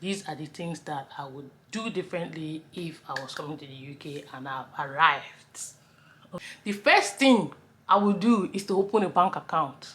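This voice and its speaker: In a Nigerian accent, a woman with a fairly low pitch speaks at a moderate pace with lively intonation and big swings in loudness. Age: 30s. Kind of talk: casual talk to camera.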